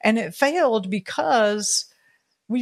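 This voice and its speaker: A woman with an American accent, medium pitch and ordinary pitch variation. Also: very clean recording, silent background. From US suburbs. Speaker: homesteading educator and founder of a self-sufficiency community. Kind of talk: casual interview. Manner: halting, many fillers and restarts.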